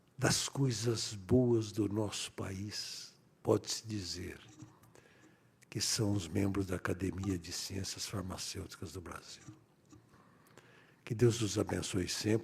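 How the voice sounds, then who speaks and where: Speaking very slowly with long, frequent pauses, a man uses a fairly low, somewhat breathy voice and fairly even intonation. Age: 80s+. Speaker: politician. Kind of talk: ceremonial speech.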